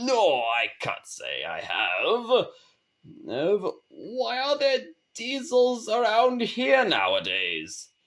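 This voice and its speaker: A man puts on a character voice. He talks at a very slow pace. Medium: read story. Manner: stammering, bewildered.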